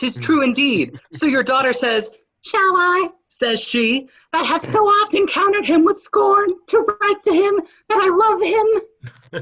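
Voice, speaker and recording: In a put-on character voice, the speaker squeaks at an extremely high pitch and a fairly slow pace. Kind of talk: Shakespearean stage reading. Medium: stage play. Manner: theatrical.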